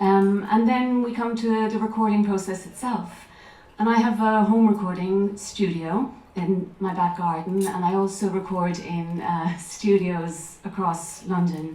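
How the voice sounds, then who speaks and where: This woman has an Irish accent and a medium pitch. She talks at a fairly slow pace with fairly even intonation. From Ireland. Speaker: actress and voiceover artist; audiobook narrator. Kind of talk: talk to a festival audience.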